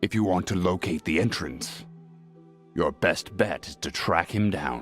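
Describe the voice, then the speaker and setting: A man puts on a character voice with a very deep, low pitch at a moderate pace. Clear music plays in the background. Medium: video game. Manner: laconic, dry.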